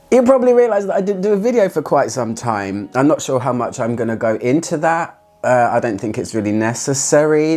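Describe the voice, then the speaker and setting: With a British accent, a man talks at a fairly quick pace and a medium pitch, his pitch swinging very widely, with hardly any pauses. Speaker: fragrance reviewer. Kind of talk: casual talk to camera.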